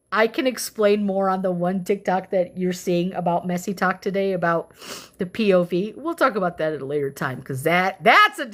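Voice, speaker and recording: With an animated tone, a woman talks at a medium pitch and a moderate pace with ordinary pitch variation. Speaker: livestreamer reading political document aloud. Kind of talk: casual livestream sign-off. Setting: live stream. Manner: loud.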